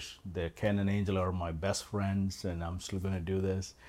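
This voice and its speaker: A man speaks in a very deep, low voice with monotone, flat intonation. Audible room echo surrounds his words. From India, Kerala. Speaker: political candidate. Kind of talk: interview.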